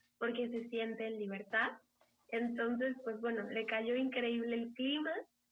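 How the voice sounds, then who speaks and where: A woman talks in an ordinary speaking voice at a fairly slow pace. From Mexico City. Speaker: engineer's wife, pet owner who emigrated. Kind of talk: casual interview.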